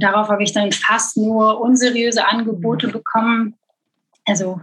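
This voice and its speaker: A woman's fairly high-pitched voice, a plain, everyday voice. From Belgium. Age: 30s. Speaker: e-commerce content manager. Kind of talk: interview.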